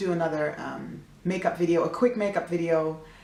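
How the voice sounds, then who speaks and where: A woman talks with ordinary pitch variation. Audible room echo and noticeable background noise surround her voice. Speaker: singer-songwriter and beauty vlogger. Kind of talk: makeup tutorial. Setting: at home, near the fridge. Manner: chatty, casual.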